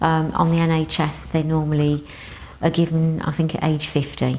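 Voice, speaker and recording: The speaker is a woman with a very deep, low pitch. She keeps a moderate pace. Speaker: breast cancer survivor. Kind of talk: interview testimony. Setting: studio. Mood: reflective, earnest recollection. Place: studio. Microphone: lapel.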